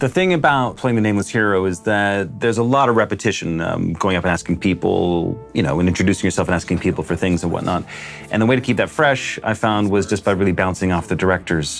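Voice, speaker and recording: Over music in the background, a man with a fairly low pitch and ordinary pitch variation talks at a very fast pace with hardly any pauses and very even loudness. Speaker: voice actor. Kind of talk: interview answer.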